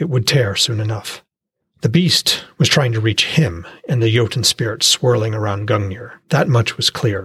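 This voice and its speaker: A man with a medium pitch talks in a dramatic tone. His voice is somewhat breathy, and his pace is moderate. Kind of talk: fantasy fiction audiobook narration. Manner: dramatic, vivid storytelling with tense, urgent pacing in battle scenes.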